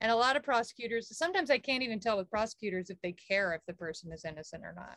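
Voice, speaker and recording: A woman with an American accent speaks in a bright, sharp tone with very wide pitch swings and a dry, close sound with no echo. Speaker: podcast co-host. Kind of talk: casual chat. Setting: video call.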